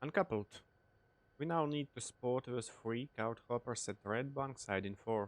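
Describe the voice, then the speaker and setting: The speech is at a very slow pace, with a non-native accent. Pitch variation is ordinary. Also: man. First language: not English. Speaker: train simulator gaming youtuber. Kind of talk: gameplay commentary.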